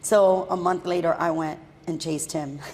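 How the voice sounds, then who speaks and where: Noticeable background noise behind a woman with an American accent. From Miami, Florida (Hialeah). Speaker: entrepreneur. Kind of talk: casual interview chat.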